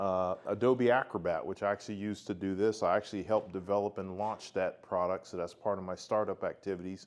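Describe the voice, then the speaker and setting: Against a quiet background, a man with an American accent speaks at a moderate pace with a fairly low pitch and monotone, flat intonation. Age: 60s. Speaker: tech industry veteran presenter. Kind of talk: self-introduction talk to club audience.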